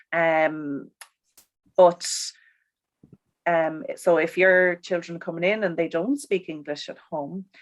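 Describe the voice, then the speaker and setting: Pausing long and often, a woman with a strong Irish accent speaks at a very slow pace and a fairly low pitch with ordinary pitch variation. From Ireland. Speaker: primary school teacher. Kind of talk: interview conversation. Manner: hesitant, many fillers.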